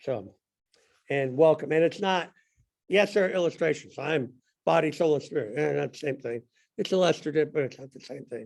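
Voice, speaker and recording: A fairly high-pitched man with a Southern US accent at a fairly quick pace, with long, frequent pauses and ordinary pitch variation. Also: big swings in loudness. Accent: US South. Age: 60s. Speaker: Sunday school teacher. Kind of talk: bible class discussion.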